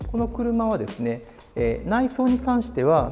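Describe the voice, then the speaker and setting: There is faint music in the background. A man speaks at a moderate pace. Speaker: presenter. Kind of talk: product walkaround commentary. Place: shop.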